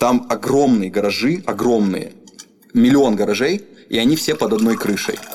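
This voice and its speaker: A man at a medium pitch and moderate pace, with lively intonation, very even loudness and long, frequent pauses, over noticeable background noise. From Russia, Rostov-on-Don. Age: 20s. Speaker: rap artist and studio owner. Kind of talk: casual interview. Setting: recording studio.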